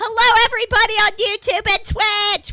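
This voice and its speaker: A woman speaks in a raised, projected voice with very wide pitch swings. Music plays in the background. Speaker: streamer. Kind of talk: casual chat. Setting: live stream. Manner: loud; animated.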